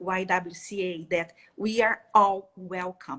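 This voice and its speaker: A woman speaks with a Brazilian accent. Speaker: education specialist. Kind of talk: live interview. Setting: live stream. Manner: halting, with fillers.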